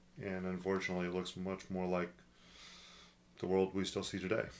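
Very deep and low, a man's voice moves at a fairly quick pace with monotone, flat intonation. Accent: West Coast US. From US Pacific Northwest, Portland, Oregon. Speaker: executive pastor. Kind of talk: podcast discussion on theology.

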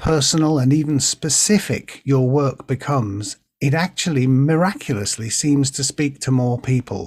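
In a Merseyside accent, a man with a fairly high, somewhat breathy voice speaks at a fairly slow pace with ordinary pitch variation. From northern England, Birkenhead. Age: 60s. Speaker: poet and actor. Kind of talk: interview with poetry reading. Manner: hesitant, many fillers and repeats.

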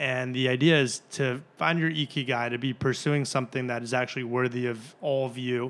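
This man has an unremarkable speaking voice with an American accent, medium pitch and fairly even intonation. He talks at a fairly quick pace on a very clean recording with a silent background. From Chicago area (Glenview). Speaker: startup founder. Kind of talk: interview. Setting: office conference room.

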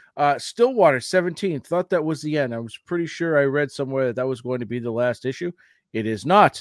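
An unremarkable speaking voice moves at a fairly quick pace with lively intonation, captured dry and close with no echo on a very clean recording over a silent background. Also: man, fairly high pitch for a man. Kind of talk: radio DJ patter, showy podcast intro.

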